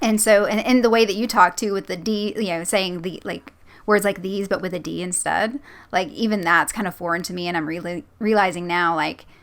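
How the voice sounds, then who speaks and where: Talking at a fairly quick pace, a woman with a Southern US accent uses medium pitch and ordinary pitch variation on a very clean recording with a silent background. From US South. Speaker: creepypasta narrator and channel host. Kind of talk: casual interview chat.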